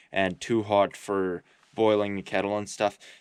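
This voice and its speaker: A man with a fairly low pitch speaks over a quiet background. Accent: rural Canadian. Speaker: homesteader vlogger. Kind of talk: casual vlog talk to camera. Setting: remote bush cabin. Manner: mumbling, halting with fillers.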